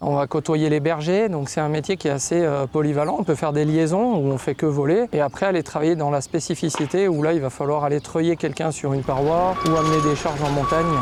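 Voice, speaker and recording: Here a man speaks fairly quickly in a fairly high voice. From France, Savoie. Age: 40s. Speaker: helicopter pilot. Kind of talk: documentary interview. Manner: hesitant, with fillers.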